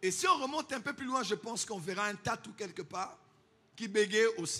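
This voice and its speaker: A man with a high pitch, lively intonation and a raised, projected voice at a moderate pace, music in the background. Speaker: pastor. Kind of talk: sermon.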